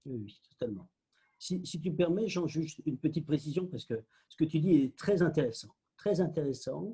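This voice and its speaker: Somewhat breathy, with a dark, mellow tone, a man talks at a moderate pace and fairly high pitch, his pitch varying in an ordinary way. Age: 60s. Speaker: spiritual teacher and author. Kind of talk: casual interview conversation.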